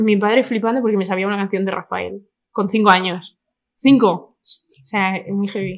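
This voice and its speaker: Speaking with a Madrid accent, a woman keeps her intonation fairly even while her loudness swings widely. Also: medium pitch for a woman, moderate pace. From Spain, Madrid (Vallecas). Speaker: influencer. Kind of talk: casual chat.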